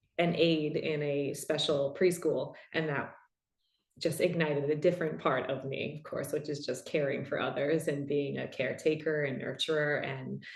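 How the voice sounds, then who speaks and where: Recorded with audible room echo, a woman with a New York accent speaks in a very deep, low pitch, somewhat breathy, at a moderate pace with monotone, flat intonation. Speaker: podcast host and somatic practitioner. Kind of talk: panel Q&A conversation.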